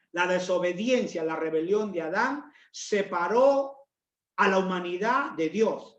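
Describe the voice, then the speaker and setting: At a very slow pace, the delivery shows ordinary pitch variation. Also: man, high pitch for a man. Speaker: pastor. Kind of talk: sermon.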